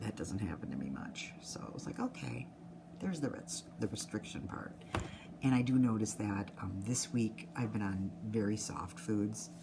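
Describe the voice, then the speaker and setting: A woman's very deep, low pitch amid noticeable background noise. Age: 60s. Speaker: nurse sharing a weight-loss surgery update. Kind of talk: personal video diary. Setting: office at work. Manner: fast-talking.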